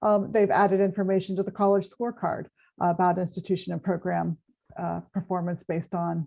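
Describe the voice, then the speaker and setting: A woman is speaking. Her pace is fairly quick. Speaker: accrediting agency executive, webinar panelist. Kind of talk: webinar panel discussion. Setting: webinar. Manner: fast; hesitant fillers.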